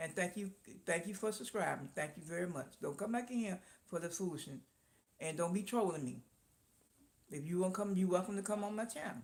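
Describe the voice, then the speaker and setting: This woman's voice is somewhat breathy and medium in pitch. She talks at a fairly quick pace with lively intonation. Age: 60s. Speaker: live-stream host, small business owner. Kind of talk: casual live-stream chat. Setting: live stream.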